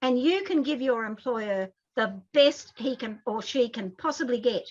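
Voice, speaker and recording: This woman has a high-pitched voice with lively intonation. She speaks with an Australian accent. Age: 60s. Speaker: advocacy group president. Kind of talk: interview discussion. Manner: animated.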